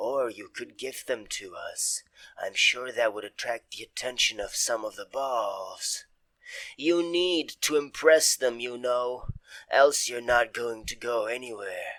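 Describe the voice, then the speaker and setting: A man puts on a character voice at a fairly slow pace, medium in pitch, with big swings in loudness. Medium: actual play. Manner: rambling, casual.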